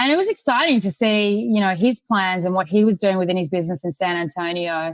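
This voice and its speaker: Spoken with an Australian accent and ordinary pitch variation, the voice sounds dry and close, with no echo. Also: woman. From Australia, Sydney. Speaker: real estate investor. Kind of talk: podcast interview.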